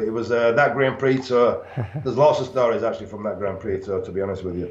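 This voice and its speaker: The voice has a northern English accent and ordinary pitch variation. Noticeable background noise and audible room echo surround it. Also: man. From northern England. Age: 50s. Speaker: retired bodybuilder and pro wrestler. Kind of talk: interview.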